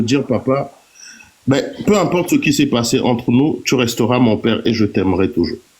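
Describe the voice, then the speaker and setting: This man's medium-pitched voice carries lively intonation against noticeable background noise. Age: 40s. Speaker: live-stream participant. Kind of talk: personal testimony.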